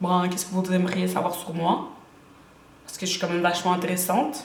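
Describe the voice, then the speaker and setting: A woman speaks in an animated tone, with noticeable background noise and audible room echo. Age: 20s. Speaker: beauty YouTuber, student. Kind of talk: casual vlog introduction.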